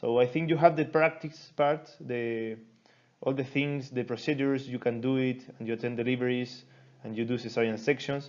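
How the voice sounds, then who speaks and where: Against a quiet background, a man with a Chilean Spanish accent talks at a moderate pace and medium pitch, his intonation fairly even. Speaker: doctor teaching a medical seminar. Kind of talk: lecture. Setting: recorded online class. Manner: halting.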